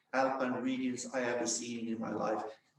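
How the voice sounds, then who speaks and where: The man's voice shows ordinary pitch variation, with audible room echo around it. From Sweden. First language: Swedish. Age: 60s. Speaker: business founder and ski coach. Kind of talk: panel discussion.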